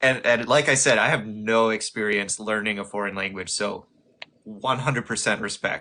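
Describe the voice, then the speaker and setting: In a Midwestern American accent, a man speaks at a moderate pace with a fairly low pitch. His tone is bright and sharp, with fairly even intonation. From Ohio. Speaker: streamer debunking flat earth. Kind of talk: casual chat. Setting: livestream.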